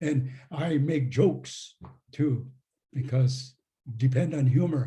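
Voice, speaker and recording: Somewhat breathy, a man speaks at a very slow pace, with audible echo from the room. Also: medium pitch for a man, fairly even intonation. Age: 80s+. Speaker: retired professor and author. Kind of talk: Q&A answers after a talk. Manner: halting, many fillers.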